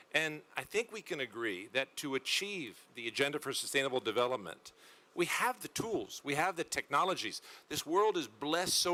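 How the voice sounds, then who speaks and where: Bright and sharp in tone, a man speaks at a moderate pace with a fairly high pitch, very wide pitch swings and vocal fry. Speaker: panel moderator. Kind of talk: panel moderation.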